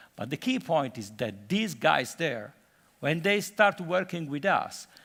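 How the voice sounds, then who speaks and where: A fairly slow voice in an Italian accent makes very wide pitch swings. The recording is very clean, with a silent background. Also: man. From Italy, Florence. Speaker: conference speaker, UN development worker. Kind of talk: conference talk. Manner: halting with many fillers.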